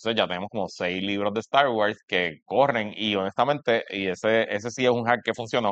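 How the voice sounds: Speaking at a moderate speed, the man varies his pitch in an ordinary way. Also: fairly low pitch for a man, fairly bright tone.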